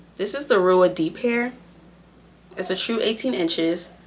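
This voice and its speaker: At a moderate pace and a medium pitch, a woman speaks with lively intonation against noticeable background noise. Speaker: beauty vlogger. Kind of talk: hair tutorial. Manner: casual, chatty.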